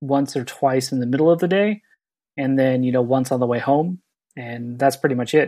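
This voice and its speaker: A man with a normal speaking voice and a fairly high pitch talks at a fairly quick pace. The recording is very clean, and the background is silent. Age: 30s. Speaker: podcast co-host. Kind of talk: casual chat.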